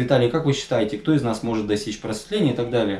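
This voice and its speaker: There is audible room echo around the man speaking. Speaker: spiritual teacher vlogger. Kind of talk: storytelling talk to camera. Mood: calm, measured. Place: home room.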